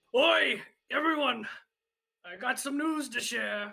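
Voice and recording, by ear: The voice is a put-on character voice, gravelly and fairly high in pitch. It moves at a fairly slow pace.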